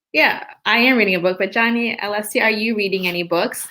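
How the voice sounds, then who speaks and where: A woman talks fairly quickly, with ordinary pitch variation. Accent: Southern US. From Florida, US. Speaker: English teacher. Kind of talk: online English class webinar.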